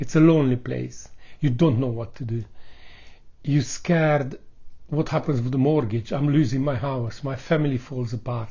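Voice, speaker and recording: A man speaks in a medium pitch. His voice is somewhat breathy, with fairly even intonation. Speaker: vlogger, accident survivor. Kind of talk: personal vlog testimony. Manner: slow.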